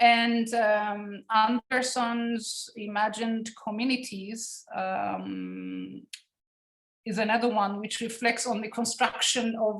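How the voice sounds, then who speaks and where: In a Turkish Cypriot accent, a woman speaks at a fairly high pitch and a very slow pace. Her intonation is monotone and flat. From Cyprus (Turkish Cypriot community). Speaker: academic researcher. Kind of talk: academic seminar lecture. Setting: online seminar. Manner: halting, many fillers.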